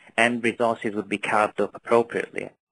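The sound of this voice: This man has a Northern English accent and a fairly low pitch, with vocal fry and a fairly bright tone. He speaks at a fairly quick pace with little pitch movement.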